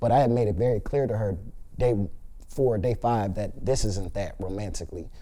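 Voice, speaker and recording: With an American accent and a dark, mellow tone, a man talks at a fairly quick pace with ordinary pitch variation amid audible room echo. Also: medium pitch for a man. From Los Angeles, US. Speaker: reality TV contestant. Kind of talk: interview. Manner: casual, filler-heavy.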